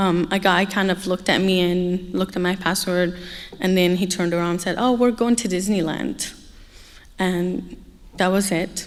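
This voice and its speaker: With an Arabic accent, the speaker keeps a moderate pace and fairly even intonation. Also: woman, medium pitch for a woman. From Egypt. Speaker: human trafficking survivor speaker. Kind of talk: testimony. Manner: hesitant, many fillers.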